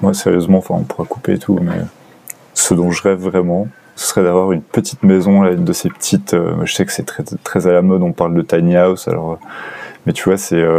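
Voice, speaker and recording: A man's very deep, low voice with fairly even intonation over noticeable background noise. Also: fairly quick pace. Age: 20s. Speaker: physiotherapy student, former banker. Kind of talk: interview. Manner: halting.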